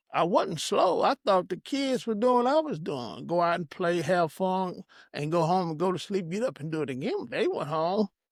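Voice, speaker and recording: Recorded very cleanly against a silent background with a dry, close sound and no echo, a man speaks at a high pitch and a moderate pace with lively intonation. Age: 60s. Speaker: minister and prison addiction counselor. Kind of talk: testimony. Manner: halting, repeats words.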